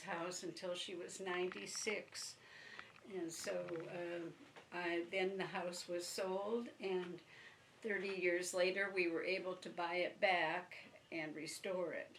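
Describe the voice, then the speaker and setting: With an Upper Midwest accent, the speaker goes at a fairly slow pace with fairly even intonation amid audible room echo. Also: woman. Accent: Upper Midwest American. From northern Michigan, Benzie County. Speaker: retired teacher, oral history interviewee. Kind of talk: oral history interview. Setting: at her home. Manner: halting.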